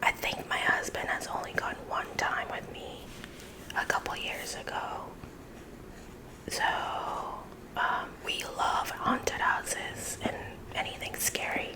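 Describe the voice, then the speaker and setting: Whispering at a fairly slow pace, a woman leaves long, frequent pauses. Noticeable background noise runs behind her. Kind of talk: ASMR casual chat while coloring. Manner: whispered.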